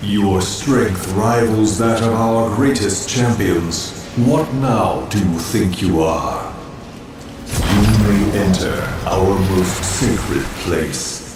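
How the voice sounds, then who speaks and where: Delivered in a put-on character voice at a very slow pace, the clip has loud background noise and a slight echo. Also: man, fairly low pitch for a man. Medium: machinima. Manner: solemn, formal.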